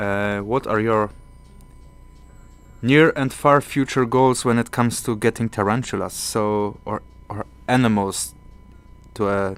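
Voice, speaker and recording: The speech moves at a fairly slow pace with fairly even intonation while music plays in the background. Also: man. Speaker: tarantula keeper and streamer. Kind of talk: live stream chat. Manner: halting.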